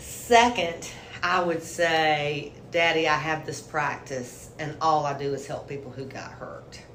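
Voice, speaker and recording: In a Southern US accent, a woman with a very deep, low voice speaks fairly slowly, her loudness swinging widely amid audible room echo and noticeable background noise. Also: ordinary pitch variation. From South Carolina, Hartsville. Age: 60s. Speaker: lawyer. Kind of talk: interview.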